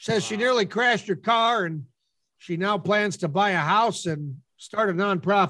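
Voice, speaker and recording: A raised, projected voice with an American accent speaks at a moderate pace with ordinary pitch variation. Its tone is bright and sharp, on a very clean recording with a silent background. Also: man, high pitch for a man. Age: middle-aged. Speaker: podcast co-host. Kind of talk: casual chat.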